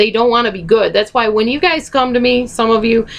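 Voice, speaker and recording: Her voice fairly high in pitch, a woman speaks with vocal fry. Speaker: video blogger on narcissistic abuse. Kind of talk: casual Q&A video talk.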